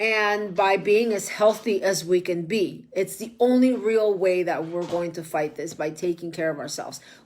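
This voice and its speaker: Medium-pitched woman's voice with a Spanish accent, a moderate pace, hardly any pauses and ordinary pitch variation. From Mexico. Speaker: political candidate and online show host. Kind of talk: casual livestream monologue. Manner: halting, many fillers.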